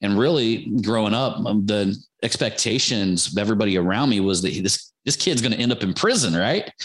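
At a fairly quick pace with hardly any pauses, a man talks in an unremarkable speaking voice, fairly low in pitch, with ordinary pitch variation and very even loudness. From US Midwest, Ohio. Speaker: marketing entrepreneur. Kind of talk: casual interview.

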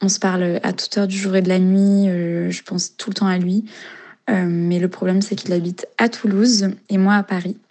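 This woman's medium-pitched voice stays monotone and flat while moving at a moderate pace. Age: 20s. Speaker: listener leaving voice message. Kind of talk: voice message.

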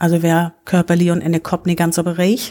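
A woman's voice is fairly low-pitched, with a dark, mellow tone. The recording is very clean, with a silent background. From northern Germany, Low German area. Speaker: volunteer representative, Low German poetry reader. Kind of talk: casual chat with poetry reading. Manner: halting.

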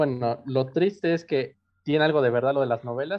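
A man in a Mexico City accent, medium in pitch, with fairly even intonation. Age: 20s. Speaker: university student. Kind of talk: casual chat.

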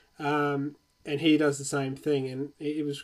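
This man's pitch sits fairly high, and he talks at a fairly slow pace. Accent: Australian. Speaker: podcast host. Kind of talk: casual interview chat. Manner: filler-heavy, stumbling.

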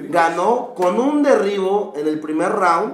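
A man speaks with a high pitch and lively intonation. There's audible room echo and noticeable background noise. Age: 20s. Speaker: psychologist and MMA fighter, podcast co-host. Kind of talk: casual chat.

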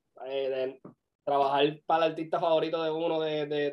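The man's voice sits at a fairly high pitch and stays monotone and flat. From Puerto Rico, Vega Baja countryside. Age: 20s. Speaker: videographer and music video producer. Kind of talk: interview.

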